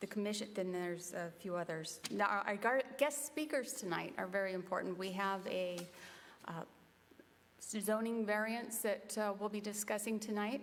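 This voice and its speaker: This is a normal speaking voice from a woman at a moderate pace. Her pitch sits at medium with ordinary variation. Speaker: civic association meeting chair. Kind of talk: public meeting chairing.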